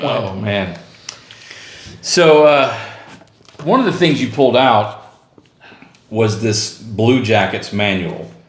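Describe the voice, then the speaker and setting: Amid noticeable background noise, a man at medium pitch talks at a very slow pace with lively intonation and long, frequent pauses. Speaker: channel host. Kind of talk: casual interview talk.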